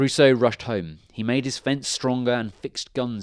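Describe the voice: The text is given plain reading aloud, its intonation kept fairly level.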